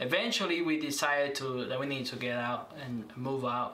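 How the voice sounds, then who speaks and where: A fairly high-pitched man with a Spanish accent and fairly even intonation at a moderate pace, with audible room echo and noticeable background noise. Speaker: minister. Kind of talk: interview. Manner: halting, many fillers.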